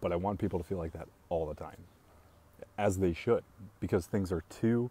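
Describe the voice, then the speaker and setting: Speaking at a fairly quick pace, a man uses a very deep, low pitch with a dark, mellow tone, fairly even intonation and a somewhat breathy quality. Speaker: coffee business owner and live streamer. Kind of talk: casual live-stream chat reading viewer comments. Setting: live video stream. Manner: calm.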